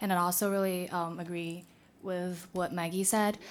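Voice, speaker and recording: A woman with an unremarkable speaking voice and a medium pitch talks at a moderate pace in a very clean recording with a silent background. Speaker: intern. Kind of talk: audience discussion. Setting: seminar room with audience.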